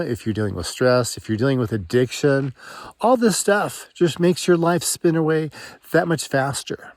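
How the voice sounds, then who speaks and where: A man's fairly high-pitched, an ordinary speaking voice, lively in intonation and moderate in pace. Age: 60s. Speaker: marriage and family therapist. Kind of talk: reflective personal talk to camera. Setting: outdoors, walking in mountains.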